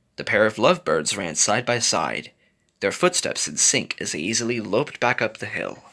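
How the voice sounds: The intonation is lively in this natural reading voice. Nothing much stirs in the quiet background.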